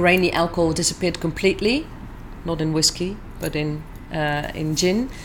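A woman with a Dutch accent speaks at a fairly low pitch with fairly even intonation. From southern Netherlands. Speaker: distiller. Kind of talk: interview. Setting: convention.

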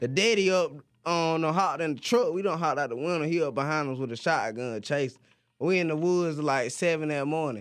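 A man's fairly high voice at a fairly quick pace, with ordinary pitch variation, on a very clean recording with a silent background. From US South, Pageland, South Carolina. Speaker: rapper and producer. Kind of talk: casual chat.

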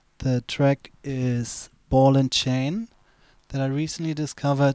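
A man with a German accent speaks at a fairly slow pace in a dark, mellow tone. The sound is dry and close with no echo, on a very clean recording with a silent background. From Germany. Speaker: DJ. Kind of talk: casual chat. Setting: studio.

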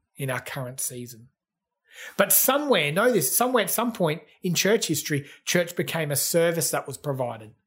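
In an Australian accent, a man speaks in a high voice that swings very widely in pitch. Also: fairly quick pace. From Australia, Gold Coast. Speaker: pastor. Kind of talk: sermon.

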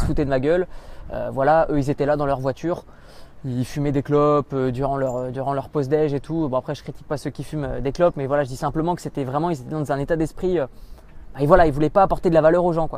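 The man speaks very fast, and his pitch is fairly high. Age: 20s. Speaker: online entrepreneur. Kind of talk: interview. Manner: halting, many fillers.

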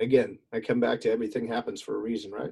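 A man puts on a raspy character voice at a medium pitch. He speaks at a very fast pace. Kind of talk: reflective, sincere.

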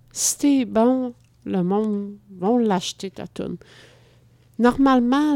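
This woman talks at a very slow pace with ordinary pitch variation, and the sound is dry and close with no echo. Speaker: podcast co-host. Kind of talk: casual chat.

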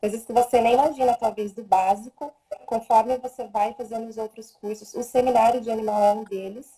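A woman at a fairly high pitch and a fairly quick pace, monotone and flat in intonation, with big swings in loudness. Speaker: Theta Healing practitioner and animal communicator. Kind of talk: casual live stream talk. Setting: Instagram live video stream. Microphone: voice too quiet at first.

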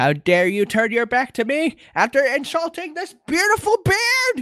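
A high-pitched put-on character voice swings very widely in pitch at a moderate pace. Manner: outraged, challenging.

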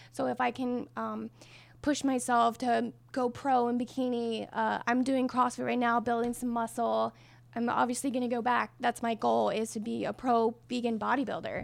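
In an American accent, the speaker goes at a moderate pace in a very clean recording with a silent background. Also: woman. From New Mexico, US. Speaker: plant-based athlete and fitness influencer. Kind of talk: casual interview.

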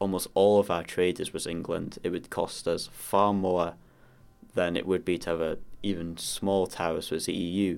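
In a very clean recording with a silent background, a man speaks at a moderate pace with a very deep, low pitch and monotone, flat intonation. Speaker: young party member on political panel. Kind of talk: panel discussion.

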